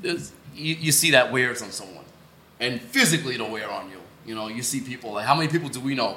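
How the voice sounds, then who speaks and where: A man talks at a very fast pace in a medium pitch with ordinary pitch variation. His loudness swings widely over noticeable background noise. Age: 20s. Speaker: podcast co-host. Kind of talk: casual chat.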